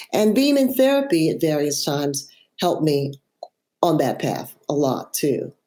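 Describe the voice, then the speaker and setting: A woman's very deep, low voice with a dark, mellow tone at a fairly slow pace, on a very clean recording with a silent background. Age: 70s. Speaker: author. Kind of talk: interview.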